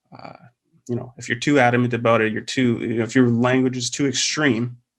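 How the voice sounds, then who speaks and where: At a fairly quick pace, a man of medium pitch delivers his lines with monotone, flat intonation. His loudness swings widely. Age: 30s. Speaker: podcast host. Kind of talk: casual chat.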